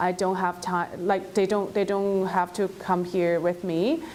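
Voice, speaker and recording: A woman of medium pitch at a fairly slow pace, in a Chinese accent. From China. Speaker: former international student. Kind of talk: personal testimony. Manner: halting, many fillers.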